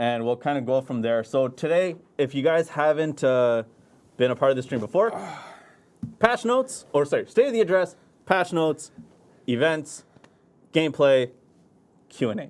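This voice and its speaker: The speaker moves at a moderate pace with lively intonation, broken up by long, frequent pauses. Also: man, fairly high pitch for a man. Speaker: game community manager. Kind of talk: livestream game update discussion. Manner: mumbling.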